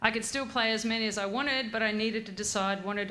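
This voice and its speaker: Bright and sharp in tone, a woman talks at a very fast pace and fairly high pitch. She has an Australian accent, and room echo is audible. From Australia, Grafton NSW. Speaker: former national soccer player and gym owner. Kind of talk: after-dinner speech. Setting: stage at awards night with audience.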